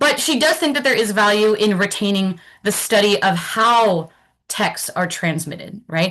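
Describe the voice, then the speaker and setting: This woman talks at a moderate pace in a normal speaking voice, her medium pitch rising and falling with lively intonation. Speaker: academic presenter. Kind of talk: lecture.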